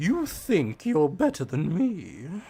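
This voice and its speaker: A put-on character voice is heard. Its pitch sits in the middle. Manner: arrogant, condescending.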